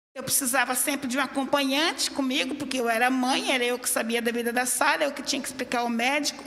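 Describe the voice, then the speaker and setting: A woman speaks at a high pitch. Her intonation is flat and monotone. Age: 60s. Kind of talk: public hearing statement.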